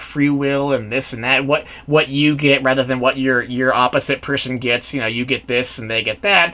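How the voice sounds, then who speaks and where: A man with a fairly high pitch talks at a fairly quick pace, with noticeable background noise behind him. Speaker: movie reviewer. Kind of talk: solo video review. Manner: rambling, halting.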